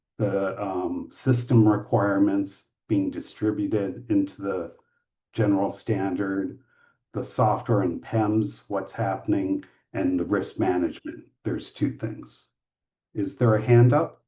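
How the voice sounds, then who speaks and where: A man talks at a fairly low pitch in a dark, mellow, somewhat breathy tone. His pace is fairly slow, with ordinary pitch variation. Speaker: medical device safety standards expert. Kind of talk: webinar presentation.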